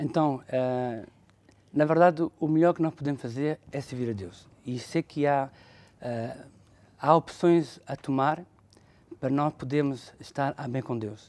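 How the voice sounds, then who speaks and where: A man's fairly high voice at a fairly slow pace, with long, frequent pauses and ordinary pitch variation. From northern Portugal (Felgueiras), raised partly in France. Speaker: bishop. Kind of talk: testimony.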